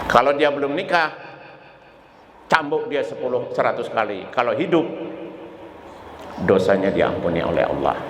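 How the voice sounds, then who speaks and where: A man speaks at a moderate pace with long, frequent pauses, amid noticeable background noise and audible room echo. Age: 70s. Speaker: Islamic preacher. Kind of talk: sermon.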